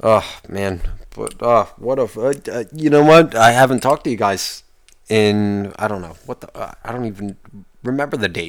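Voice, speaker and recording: A man's normal speaking voice at a moderate pace with ordinary pitch variation, on a very clean recording with a silent background. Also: medium pitch for a man. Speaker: podcast host. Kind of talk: angry rant, profane solo podcast monologue. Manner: ranting, profane, exasperated, loud and heated; rambling, casual, self-interrupting.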